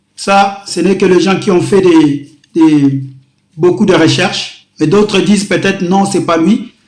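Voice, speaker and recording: A man at a fairly slow pace with lively intonation, in audible room echo. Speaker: pastor. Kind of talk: sermon.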